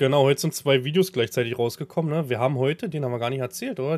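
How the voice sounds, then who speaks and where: A man with a fairly high pitch speaks with ordinary pitch variation and hardly any pauses. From Brandenburg, Havelland. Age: 30s. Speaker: farmer and streamer. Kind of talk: casual chat.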